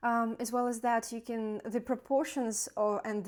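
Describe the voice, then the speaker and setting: A woman with a non-native accent, fairly high pitch and fairly even intonation, in a very clean recording with a silent background. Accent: non-native English speaker. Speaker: doctor. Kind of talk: educational talk. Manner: halting, many fillers.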